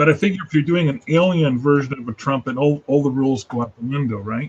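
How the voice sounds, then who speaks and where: A man's fairly high-pitched, somewhat breathy voice at a very fast pace, with ordinary pitch variation. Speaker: freelance illustrator hosting a live sketch hangout. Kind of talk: casual chat.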